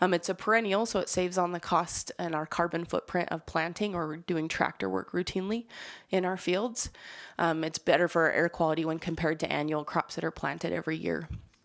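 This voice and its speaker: A woman with a fairly low pitch and vocal fry speaks with fairly even intonation on a very clean recording with a silent background. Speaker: state agriculture program presenter. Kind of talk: presentation. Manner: fast.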